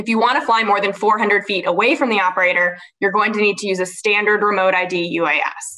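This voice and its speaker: The background is quiet and the pace is moderate. Pitch variation is ordinary. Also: woman. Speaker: panelist. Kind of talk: panel discussion answer. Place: home room. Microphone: webcam.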